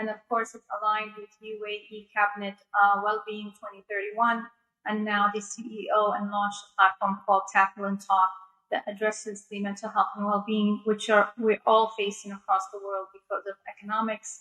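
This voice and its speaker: Her voice at medium pitch, a woman with an American accent speaks at a moderate pace in a monotone, flat intonation, with big swings in loudness. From United States, New York. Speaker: pharmacist and health official. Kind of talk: panel talk.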